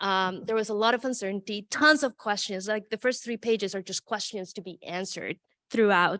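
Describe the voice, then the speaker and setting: A woman speaks loudly and fairly quickly in a bright, sharp tone, recorded very cleanly with a silent background and a dry, close sound with no echo. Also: medium pitch for a woman, ordinary pitch variation. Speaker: political science professor. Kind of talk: academic panel presentation.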